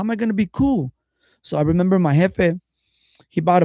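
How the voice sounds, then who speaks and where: A man talks at a fairly quick pace. The sound is dry and close with no echo, over a quiet background. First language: Spanish. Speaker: podcast host. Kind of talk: casual chat. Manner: code-switching Spanish and English slang.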